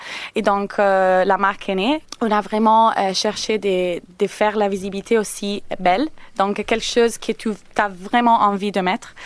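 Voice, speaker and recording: A woman's medium-pitched voice, fairly slow in pace, with fairly even intonation. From Italy. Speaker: company representative. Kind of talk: radio interview. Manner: halting.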